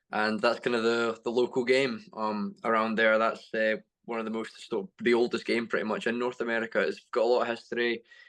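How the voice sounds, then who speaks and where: Speaking with a Scottish accent, a man keeps a fairly quick pace with hardly any pauses. His pitch is medium and his intonation fairly even. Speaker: sports coach and athlete. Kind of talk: panel discussion.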